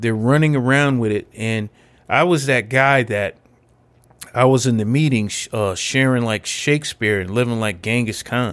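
A man with a normal speaking voice and an American accent, medium pitch, ordinary pitch variation and a moderate pace. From Connecticut. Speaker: army veteran and peer specialist in addiction recovery. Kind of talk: personal recovery testimony. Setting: recovery center recording room.

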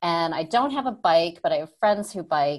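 With an American accent, a woman speaks at a fairly slow pace in a fairly low voice, against a quiet background. She has a plain, everyday voice with ordinary pitch variation. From upstate New York. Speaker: tech product manager and entrepreneur. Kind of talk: interview. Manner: casual, many fillers.

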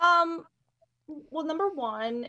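A woman with an American accent uses a raised, projected voice with a bright, sharp tone. Her pitch swings very widely. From US Midwest, North Central Illinois. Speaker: art professor and artist. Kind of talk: casual chat.

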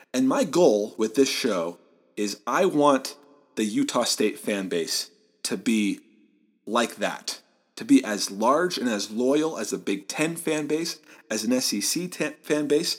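A man with a Midwestern American accent speaks at a medium pitch. His delivery is fairly slow, with lively intonation. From Southeast Michigan. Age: 20s. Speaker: sports podcast host. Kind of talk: solo sports commentary podcast.

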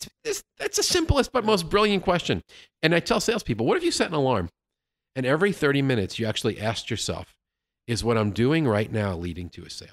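A man speaks very fast at a fairly high pitch, with very wide pitch swings and vocal fry. The sound is dry and close with no echo, on a very clean recording with a silent background. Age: 50s. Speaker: sales consultant and author. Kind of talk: casual interview. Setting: studio, in person.

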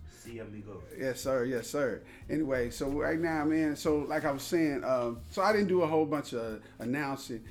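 Over music in the background and with audible room echo, a man at a fairly high pitch speaks at a moderate pace with ordinary pitch variation. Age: 40s. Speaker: podcast host. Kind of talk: casual chat.

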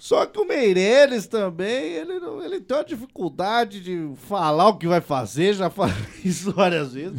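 A man speaks at a moderate pace with a high pitch and lively intonation, his loudness swinging widely. Noticeable background noise sits behind him. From Paraná, Brazil. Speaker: podcast host. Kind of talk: casual chat.

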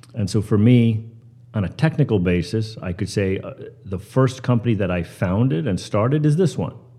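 A man with an American accent and a fairly low, somewhat breathy voice of dark, mellow tone, at a moderate pace. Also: ordinary pitch variation. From US Northeast (Pearl River, New York). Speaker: finance company CEO. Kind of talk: interview. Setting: live at a conference summit.

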